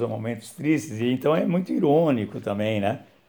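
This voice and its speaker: Moderate pacing marks this man's speech. His intonation is lively. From São Paulo, Brazil. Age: 60s. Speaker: author and philosophy teacher. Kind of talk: casual talk about his book. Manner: hesitant, many fillers.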